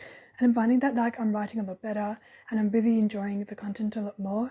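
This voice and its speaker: Very fast and somewhat breathy, a woman talks in a fairly high pitch with a dark, mellow tone, monotone, flat intonation, and big swings in loudness. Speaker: podcast host; early childhood education student. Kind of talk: casual podcast talk.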